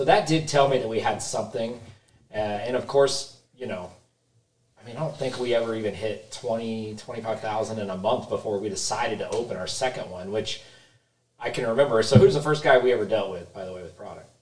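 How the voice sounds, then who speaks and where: A man's unremarkable speaking voice at a medium pitch, fairly quick in pace, with ordinary pitch variation and big swings in loudness. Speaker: supplement store co-owner. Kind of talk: casual chat. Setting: studio.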